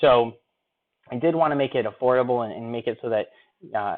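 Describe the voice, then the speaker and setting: Speaking at a fairly quick pace, a man uses a medium pitch with ordinary pitch variation. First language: not English. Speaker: online marketing coach. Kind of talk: webinar sales pitch. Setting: live stream.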